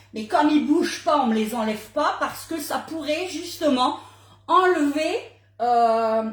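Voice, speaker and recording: Loud and animated, a woman speaks at a fairly slow pace with lively intonation, and room echo is audible. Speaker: cooking demonstrator. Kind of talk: live cooking demo. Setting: livestream.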